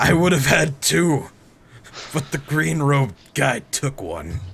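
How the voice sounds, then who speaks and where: In a put-on character voice, a man sounds raspy and sits at a medium pitch. His pace is fairly slow. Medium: actual play.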